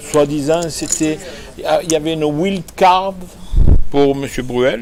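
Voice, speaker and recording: A man at a very slow pace, fairly high in pitch, with ordinary pitch variation and noticeable background noise. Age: 60s. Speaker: poker player. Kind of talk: trash talk during a poker match. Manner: animated.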